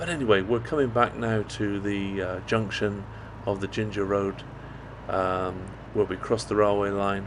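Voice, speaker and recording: Noticeable background noise accompanies a man at a fairly low pitch. He speaks at a moderate pace with fairly even intonation. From Britain. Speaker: motorcycle vlogger. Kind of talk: motovlog commentary. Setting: riding a motorbike outdoors. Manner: halting with fillers.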